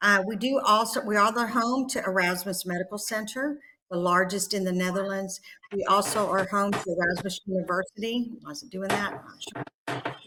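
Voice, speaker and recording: A woman with a Texas accent talks at a moderate pace and medium pitch. Her pitch varies in an ordinary way, while her loudness swings widely. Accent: Texas twang. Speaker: nurse practitioner educator. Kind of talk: conference presentation.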